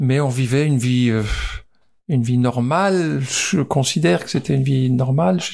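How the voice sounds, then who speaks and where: Here is a man with an unremarkable speaking voice at medium pitch. He talks at a moderate pace with ordinary pitch variation. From Alsace, France. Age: 60s. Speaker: former footballer. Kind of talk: interview. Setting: on location.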